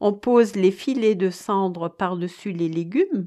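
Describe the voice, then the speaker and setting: Very slowly, a woman speaks in a dark, mellow tone over a quiet background. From Alsace, France. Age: 60s. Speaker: home cook sharing family recipes. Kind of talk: recipe explanation with childhood memories. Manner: hesitant with frequent fillers.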